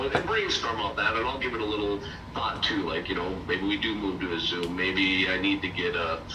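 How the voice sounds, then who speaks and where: Over noticeable background noise, a man's voice carries audible room echo. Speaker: property management mentor. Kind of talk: mentoring call.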